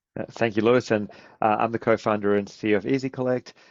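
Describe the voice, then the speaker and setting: A man at a very fast pace with fairly even intonation, in a dry, close sound with no echo and a quiet background. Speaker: software company co-founder and CEO. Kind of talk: webinar presentation. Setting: online webinar.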